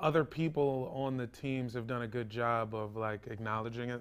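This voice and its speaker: In an American accent and a normal speaking voice, a man talks at medium pitch with ordinary pitch variation, hardly any pauses and big swings in loudness. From US Mid-Atlantic (Virginia, DC suburbs). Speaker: stand-up comedian. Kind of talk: casual chat.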